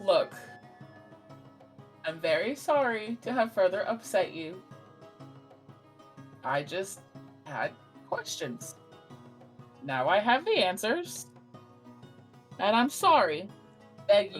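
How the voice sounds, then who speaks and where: Clear music plays behind a woman doing a put-on character voice at medium pitch, with very wide pitch swings, a fairly slow pace and long, frequent pauses. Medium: actual play. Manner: blunt, defensive.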